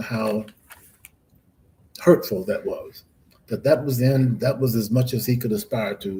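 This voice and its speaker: In an American accent, a man speaks at a fairly slow pace with a dark, mellow tone, a somewhat breathy, medium-pitched voice and ordinary pitch variation. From US South, Florida (DeLand, Volusia County). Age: 80s+. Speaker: professor. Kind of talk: interview. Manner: halting.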